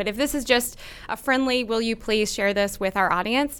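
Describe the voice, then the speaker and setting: Very fast speech in an American accent with a bright, sharp tone comes through a very clean recording with a silent background. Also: woman. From North Texas (Dallas/Plano). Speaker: magazine editor. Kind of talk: casual interview. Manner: animated.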